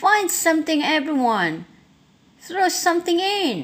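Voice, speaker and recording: A female-sounding put-on character voice, extremely high in pitch, at a fairly slow pace. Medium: read story.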